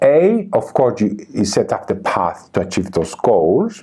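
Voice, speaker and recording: A man speaks at a fairly slow pace with a non-native accent. His dark, mellow voice swings very widely in pitch. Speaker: tarot reader and artist. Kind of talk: casual interview conversation. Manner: halting, with fillers and restarts.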